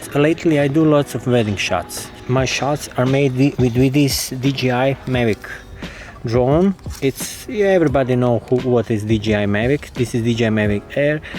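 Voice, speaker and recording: Against noticeable background noise, a man speaks with a Croatian accent and ordinary pitch variation. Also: medium pitch for a man, moderate pace, very even loudness. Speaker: drone videographer. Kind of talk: casual gear review. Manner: halting.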